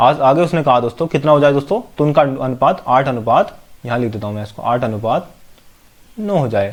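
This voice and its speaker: The speaker is a man with lively intonation. His pace is moderate. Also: medium pitch for a man. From India, Amroha (Uttar Pradesh). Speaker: maths teacher. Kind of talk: tutorial. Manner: repetitive, many fillers.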